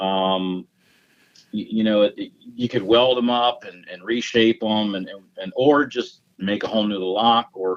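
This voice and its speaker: A man with an American accent speaks at a moderate pace in a medium pitch. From Virginia, US. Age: 50s. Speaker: gunsmith and lock maker. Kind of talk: interview. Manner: halting, many repeated words.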